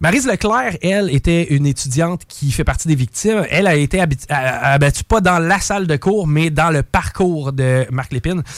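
A man with a plain, everyday voice speaks at a fairly high pitch and moderate pace, with lively intonation. His loudness is very even, and he leaves hardly any pauses. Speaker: radio columnist. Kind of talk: true crime storytelling; casual radio chat.

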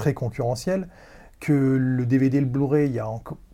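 Medium in pitch with a dark, mellow tone, a man speaks at a moderate pace with fairly even intonation. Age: 30s. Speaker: podcast guest. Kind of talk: casual chat.

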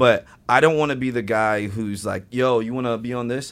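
A plain, everyday voice with an American accent, talking at a fairly quick pace. The recording is very clean, with a silent background. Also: man. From US Midwest (Indiana). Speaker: actor and improv comedian. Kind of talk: casual chat.

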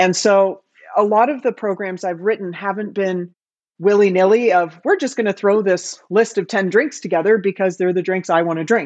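A woman with a Canadian accent and an unremarkable speaking voice, medium in pitch with ordinary pitch variation, at a moderate pace against a quiet background. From Canada. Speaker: bar industry expert. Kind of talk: casual interview chat.

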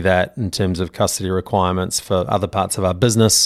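Speaking at a fairly quick pace, a man with a New Zealand accent has a very deep, low pitch, captured in a very clean recording with a silent background. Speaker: crypto exchange executive. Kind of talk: podcast interview.

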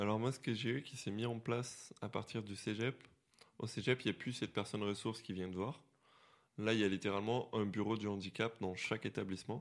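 In a very clean recording with a silent background, a man with an ordinary speaking voice talks at a fairly low pitch and a fairly quick pace, with fairly even intonation. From Quebec, Montreal. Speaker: visually impaired guest. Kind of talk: casual chat.

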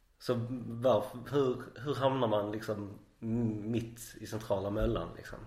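A man's somewhat breathy, medium-pitched voice at a fairly slow pace, flat and monotone, with big swings in loudness and audible room echo. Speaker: podcast host. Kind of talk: casual interview.

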